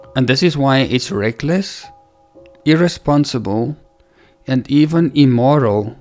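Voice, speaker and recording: With music in the background, a man speaks at a fairly slow pace. His pitch is medium, with ordinary pitch variation. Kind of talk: religious teaching talk.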